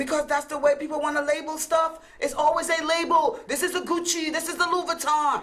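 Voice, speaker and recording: Over noticeable background noise, a woman with a Caribbean accent and an extremely high pitch talks at a fairly quick pace with fairly even intonation and hardly any pauses. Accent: Caribbean island. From US Virgin Islands. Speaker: talk show co-host. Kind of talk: heated debate.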